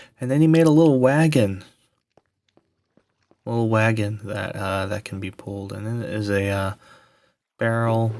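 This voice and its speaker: Soft-spoken, a man talks with a fairly low voice and ordinary pitch variation. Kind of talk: ASMR game world tour narration.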